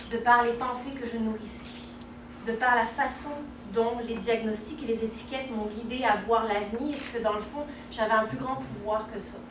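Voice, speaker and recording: A woman's fairly high voice with a slight southern French accent and fairly even intonation, amid audible room echo and noticeable background noise. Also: moderate pace. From southern France, Côte d'Azur. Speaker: relationship coach and speaker. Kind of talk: conference talk. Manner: hesitant, many fillers.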